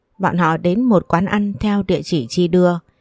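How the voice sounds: Fairly even intonation in a natural reading voice.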